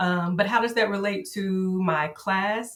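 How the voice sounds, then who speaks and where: With a Southern US accent, a woman talks at a fairly slow pace and medium pitch, with ordinary pitch variation. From Arkansas, USA. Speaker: high school social studies teacher, army veteran. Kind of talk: podcast interview answer.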